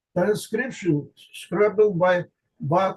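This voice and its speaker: In an Azerbaijani accent, a man speaks at a high pitch with ordinary pitch variation. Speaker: linguistics researcher. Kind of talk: conference lecture. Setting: conference presentation. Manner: halting, with self-corrections.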